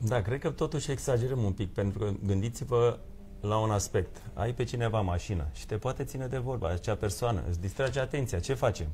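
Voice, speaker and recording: Over light background noise, the speech runs at a fairly quick pace with lively intonation. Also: man, fairly low pitch for a man. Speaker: lawyer. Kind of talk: live TV studio debate. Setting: TV studio. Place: studio.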